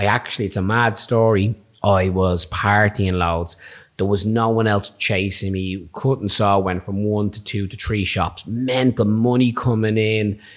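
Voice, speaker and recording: A man with a Dublin accent, fairly low in pitch, with fairly even intonation, on a very clean recording with a silent background. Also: fairly slow pace. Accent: Irish (Dublin). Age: 30s. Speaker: barber and podcast host. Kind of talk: casual chat.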